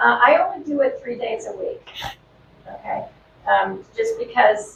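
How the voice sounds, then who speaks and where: Noticeable background noise sits behind this recording. The woman speaking keeps a fairly slow pace. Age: 70s. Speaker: band user sharing her experience. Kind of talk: testimony.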